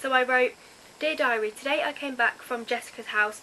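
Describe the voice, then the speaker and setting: Someone speaks with an English accent over noticeable background noise. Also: woman. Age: young. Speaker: youtuber. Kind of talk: casual vlog.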